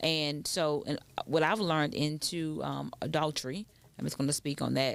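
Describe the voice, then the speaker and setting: A woman's very deep, low voice with vocal fry, at a moderate pace. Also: ordinary pitch variation, very clean recording, silent background. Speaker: radio show co-host. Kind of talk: casual chat. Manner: loud.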